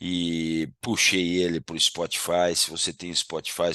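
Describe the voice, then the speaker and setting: A man's very deep, low voice with a bright, sharp tone and a dry, close sound with no echo. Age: 60s. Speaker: agribusiness consultant. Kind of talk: casual monologue to camera. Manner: informal, conversational.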